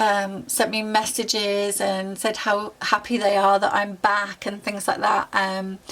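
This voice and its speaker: A woman's medium-pitched voice with a British accent, monotone and flat, fairly slow with hardly any pauses, over noticeable background noise. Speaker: YouTuber and university student. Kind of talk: tutorial.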